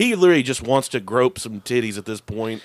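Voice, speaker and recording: Speaking very fast, a man lets his pitch range very widely up and down. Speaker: podcast host. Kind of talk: casual chat. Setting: recording session, several episodes in one night.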